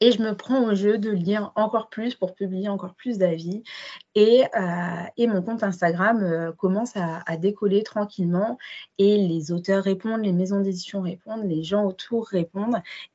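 A woman with a plain, everyday voice talks at a medium pitch and a fairly slow pace. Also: fairly even intonation. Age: 20s. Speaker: midwife and book blogger. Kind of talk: interview testimony.

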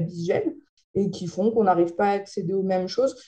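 The tone is dark and mellow, and the pace fairly quick. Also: woman. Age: 20s. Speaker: TV presenter. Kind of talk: interview.

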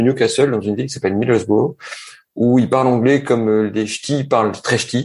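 This man's medium pitch holds fairly even intonation while he talks at a moderate pace. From northern France (Nord). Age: 40s. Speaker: entrepreneur. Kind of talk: casual interview conversation. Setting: remote recording.

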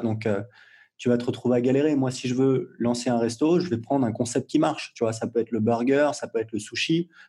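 A man's dark, mellow voice at medium pitch, fairly quick in pace, over a quiet background. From Paris suburbs (Gennevilliers), France. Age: 40s. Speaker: entrepreneur and blogger. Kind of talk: interview. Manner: casual, hesitant with fillers.

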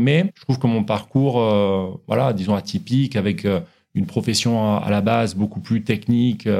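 A man's dark, mellow tone with ordinary pitch variation, on a very clean recording with a silent background. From France, French Cerdagne (Pyrenees). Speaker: wealth management adviser. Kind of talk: interview. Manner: hesitant, many fillers.

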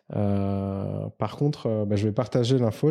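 A man's fairly low, dark and mellow voice at a fairly slow pace, on a very clean recording with a silent background. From Madagascar (Antananarivo). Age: 30s. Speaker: finance executive. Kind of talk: interview. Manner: hesitant with frequent fillers and repetitions.

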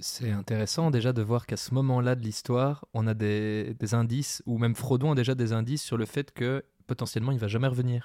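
On a very clean recording with a silent background, a man speaks at a fairly quick pace and medium pitch. His tone is dark and mellow, his intonation fairly even. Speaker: podcast co-host. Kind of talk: casual discussion with occasional reading aloud.

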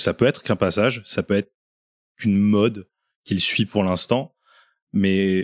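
A man with a fairly low pitch speaks at a moderate pace in a dry, close recording with no echo and a very clean, silent background. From France, Reims. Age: 20s. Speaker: crisis manager and gamer. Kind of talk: casual interview. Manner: hesitant, with fillers.

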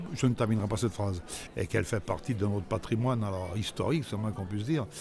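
Noticeable background noise sits behind a man speaking very fast at a fairly low pitch. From Grenoble area, Isère, France. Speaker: actor and comedian. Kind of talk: casual chat. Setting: outdoors. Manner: halting, repeats words.

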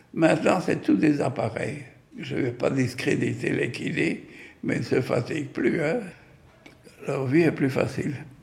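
At a very slow pace with long, frequent pauses, the voice is heard with audible room echo. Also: man. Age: 90s. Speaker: retired physiotherapist. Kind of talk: personal testimony. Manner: halting, with many hesitations.

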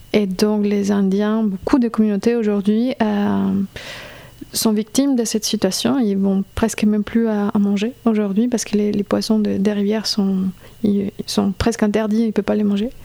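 A woman at medium pitch with a Colombian accent, moderate pace, monotone, flat intonation, and very even loudness. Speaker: singer and violist. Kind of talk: interview.

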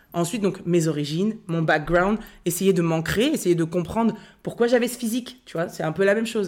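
A woman's normal speaking voice at a medium pitch with ordinary pitch variation and big swings in loudness, fairly quick in pace, on a very clean recording with a silent background. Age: 30s. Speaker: content creator and author. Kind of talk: casual chat.

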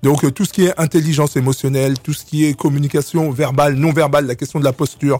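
At a very fast pace, a man talks with fairly high pitch, fairly even intonation and a somewhat breathy quality. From Republic of the Congo, raised in Clichy-sous-Bois, Paris suburbs. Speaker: association president. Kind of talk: radio interview. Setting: radio studio. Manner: halting.

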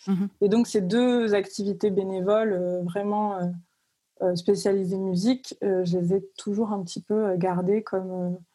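A woman's medium-pitched voice, dark and mellow in tone, monotone and flat, at a very slow pace. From southern France, Cavaillon near Avignon. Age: 20s. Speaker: music industry professional. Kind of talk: casual interview.

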